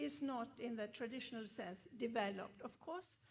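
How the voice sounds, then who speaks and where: With a Swedish accent, a woman talks at a high pitch with ordinary pitch variation, and the room echo is audible. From Sweden, Gothenburg. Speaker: professor. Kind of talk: lecture.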